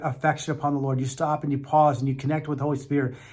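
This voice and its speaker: The voice is somewhat breathy and stays monotone, with flat intonation throughout. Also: man. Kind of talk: motivational teaching talk. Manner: fast; earnest, encouraging.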